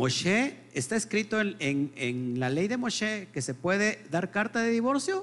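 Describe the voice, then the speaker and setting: Speaking fairly slowly with hardly any pauses, a man uses a high pitch that swings very widely. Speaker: Messianic Torah teacher. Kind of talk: sermon. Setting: live stream.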